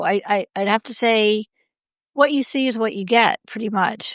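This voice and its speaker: In an American accent, a woman speaks at a moderate pace in a normal speaking voice, fairly high-pitched and with fairly even intonation. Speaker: scholar and business advisor. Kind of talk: interview conversation.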